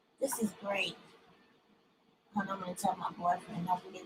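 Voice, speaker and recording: A woman's raised, projected voice. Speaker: YouTube livestreamer reading a book. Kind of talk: casual livestream chat before reading aloud. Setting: live stream.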